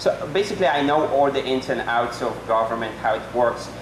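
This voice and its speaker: Medium-pitched male speech at a fairly quick pace, with a non-native accent, audible room echo and noticeable background noise. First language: not English. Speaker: political candidate, accountant. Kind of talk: debate opening statement. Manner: halting.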